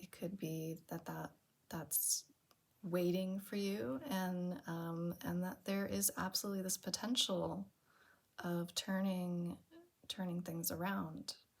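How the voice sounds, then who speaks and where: At a very slow pace, a woman speaks in a fairly low, somewhat breathy voice with fairly even intonation. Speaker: tarot reader. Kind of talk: tarot reading.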